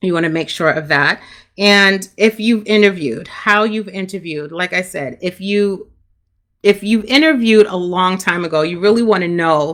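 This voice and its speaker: Bright and sharp in tone, a woman with a Brooklyn accent speaks at a medium pitch. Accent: New York, Brooklyn. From Brooklyn, New York, Jamaican family. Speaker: career coach. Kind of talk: live stream talk.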